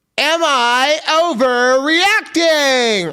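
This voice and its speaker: A put-on character voice at a high pitch. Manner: showy, over-the-top.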